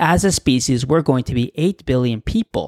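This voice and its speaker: With a Canadian accent, a man at medium pitch speaks at a fairly slow pace, his intonation lively and his tone enthusiastic, in a dry, close recording with no echo. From Canada. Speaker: podcast host. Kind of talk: solo podcast monologue.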